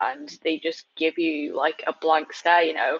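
A woman with a British accent at a moderate pace, in a dry, close sound with no echo. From England. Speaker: podcast guest, transracial adoptee advocate. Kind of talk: casual chat.

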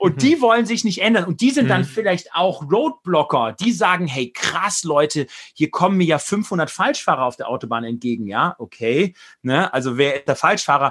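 At a moderate pace, a man with a high pitch talks in very wide pitch swings. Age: 40s. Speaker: business leader and author. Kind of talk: interview.

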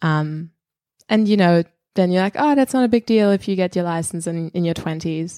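With a German accent, a woman speaks at a fairly quick pace in a fairly low pitch with ordinary pitch variation and a dark, mellow tone. The sound is dry and close with no echo, on a very clean recording with a silent background. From Germany. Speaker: comedian. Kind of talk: casual chat. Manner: halting.

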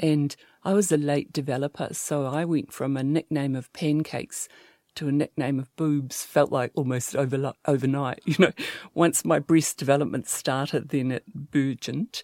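A woman with a New Zealand accent speaks with a very deep, low pitch, a dark, mellow tone and fairly even intonation. The recording is very clean with a silent background and a dry, close sound with no echo. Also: moderate pace. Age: 60s. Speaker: sex therapist and clinical psychologist. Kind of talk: interview.

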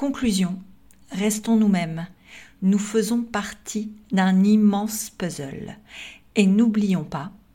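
Speaking very slowly with long, frequent pauses, a woman with a dark, mellow, somewhat breathy tone holds a medium pitch and ordinary pitch variation. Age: 50s. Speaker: podcaster. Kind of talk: scripted monologue.

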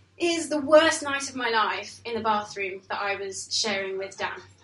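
With lively intonation and a fairly high pitch, a woman's voice comes through noticeable background noise and audible room echo. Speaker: storyteller. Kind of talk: storytelling performance. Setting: stage with audience.

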